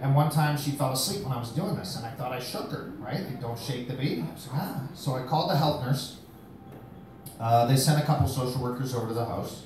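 Amid light background noise and audible room echo, a man talks at a fairly quick pace with ordinary pitch variation. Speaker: comedian. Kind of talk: stand-up comedy set. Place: bar. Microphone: camera far.

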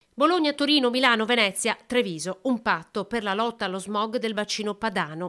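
A woman with a plain, everyday voice talks at a fairly quick pace and a medium pitch. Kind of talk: news reading. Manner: formal, steady newsreader delivery.

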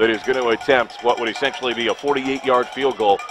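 A man talks at a fairly quick pace in an energetic tone, with ordinary pitch variation. The sound is dry with no echo, though noticeable background noise is present. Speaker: radio play-by-play announcer. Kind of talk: live radio sports commentary, rapid play-by-play of a high school football game. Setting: radio broadcast from stadium press box. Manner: fast, energetic play-by-play delivery with clipped down-and-distance calls. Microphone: headset.

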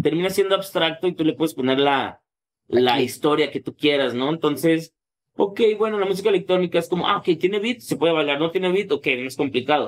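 Fairly quick in pace, a man speaks high in pitch. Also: ordinary pitch variation. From Mexico, Tepic, Nayarit; Nayarit, Mexico. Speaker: electronic music producer and painter; interviewee. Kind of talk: casual interview. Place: studio. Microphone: studio mic.

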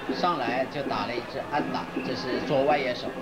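Speech at a moderate speed comes through loud background noise. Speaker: sports broadcaster. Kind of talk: 1980s baseball play-by-play.

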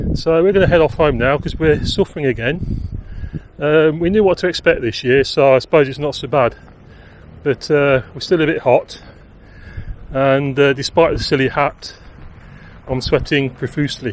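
A man at a moderate pace with ordinary pitch variation and long, frequent pauses, in a dry sound with no echo over light background noise. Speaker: vlogger. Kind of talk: casual vlog chat. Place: open country. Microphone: phone near.

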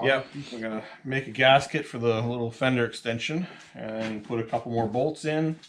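A man talks at a moderate pace. There is light background noise. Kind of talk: tutorial commentary. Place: garage.

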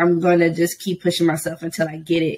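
The intonation is fairly even. It belongs to a woman. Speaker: English teacher. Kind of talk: casual interview. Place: home room.

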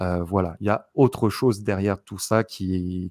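The voice speaks at a fairly slow pace with fairly even intonation, the sound dry with no echo over a quiet background. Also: man. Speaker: YouTuber psychic. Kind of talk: casual chat with clairvoyant readings. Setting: video recording with screen backdrop. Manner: many filler sounds and hesitations. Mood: calm, reflective. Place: home room. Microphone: studio mic.

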